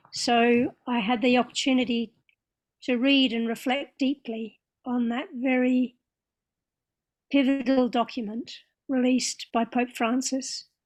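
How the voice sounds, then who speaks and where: With an Australian accent, the speaker moves at a fairly slow pace in a monotone, flat intonation, leaving long, frequent pauses, on a very clean recording with a silent background. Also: woman, high pitch for a woman. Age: 60s. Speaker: interfaith leader. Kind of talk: panel talk.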